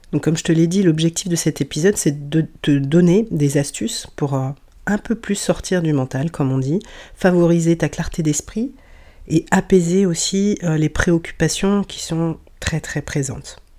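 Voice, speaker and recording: At a fairly slow pace, a woman with a dark, mellow tone talks on a very clean recording with a silent background. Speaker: sophrologist and breathwork practitioner, podcast host. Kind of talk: solo wellness podcast talk. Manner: hesitant with fillers.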